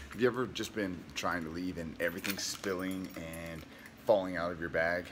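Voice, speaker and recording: There is noticeable background noise while a man speaks at a moderate pace. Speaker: fitness vlogger. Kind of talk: casual vlog chat. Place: home room. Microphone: phone near.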